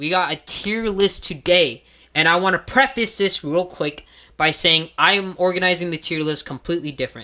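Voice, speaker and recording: Bright and sharp in tone, a high-pitched man speaks at a moderate pace with lively intonation. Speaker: YouTuber ranking rides. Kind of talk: casual monologue to camera. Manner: halting, many fillers and restarts; loud.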